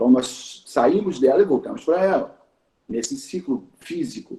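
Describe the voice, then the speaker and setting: A dark, mellow tone with very wide pitch swings, at a fairly slow pace. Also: man. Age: 60s. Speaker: teacher of Yoruba tradition. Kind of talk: talk in a conversation circle. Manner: hesitant, repeats words.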